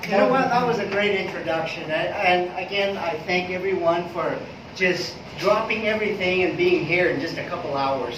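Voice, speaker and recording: A high-pitched man is heard with audible room echo and noticeable background noise. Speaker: presenter. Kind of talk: business presentation. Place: meeting room. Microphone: camera far.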